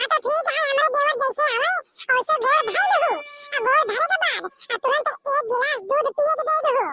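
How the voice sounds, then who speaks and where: In a cartoonish character voice, a woman speaks at an extremely high pitch and a moderate pace, her loudness very even. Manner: teasing, boastful.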